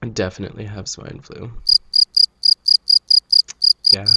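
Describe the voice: A man talks at a fairly slow pace with fairly low pitch, little pitch movement and a nasal, bright, sharp tone that carries a slightly husky edge.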